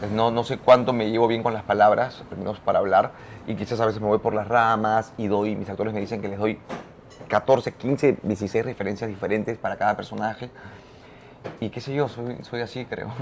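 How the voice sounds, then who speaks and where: With noticeable background noise around him, a man delivers his words at a fairly quick pace. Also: medium pitch for a man. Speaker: theatre and opera director. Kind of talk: interview. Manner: fast; animated.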